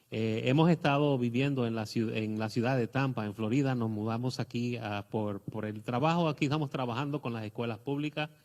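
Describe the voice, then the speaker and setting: This man's voice sits at a medium pitch and moves at a moderate speed. Its pitch rises and falls in an ordinary way. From Puerto Rico. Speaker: guest pastor. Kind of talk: testimony. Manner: halting, many fillers.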